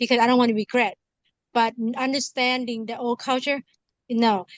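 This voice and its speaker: A high-pitched woman with a strong Lao accent, in a dry, close sound with no echo. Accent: heavy Lao. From Laos, moved to US at eleven. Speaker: community circle participant. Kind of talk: casual group chat. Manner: halting, many fillers.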